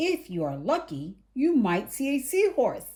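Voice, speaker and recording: In a put-on character voice, a woman with a high pitch speaks at a fairly slow pace with very wide pitch swings. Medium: read story. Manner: friendly.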